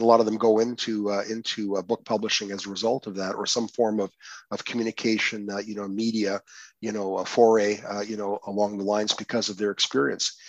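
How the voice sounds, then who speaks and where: In a Canadian accent, a man speaks very fast in a fairly low, monotone voice with flat intonation, the sound dry and close with no echo and the background quiet. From Windsor, Ontario, Canada. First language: Croatian. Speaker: poet and lawyer. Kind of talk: interview. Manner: halting, many fillers and repetitions.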